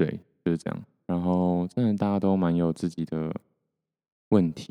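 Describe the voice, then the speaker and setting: A man's very deep, dark, mellow voice, monotone and flat, at a moderate pace with long, frequent pauses, in a dry, close sound without echo. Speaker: solo podcaster. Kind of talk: casual solo monologue. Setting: home recording with mixer, solo. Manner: soft, not loud.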